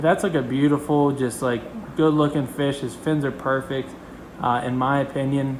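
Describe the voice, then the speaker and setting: Flat, monotone intonation at a fairly quick pace over noticeable background noise. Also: man. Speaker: fish keeping youtuber. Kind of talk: casual video tour. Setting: home fish room. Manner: fast.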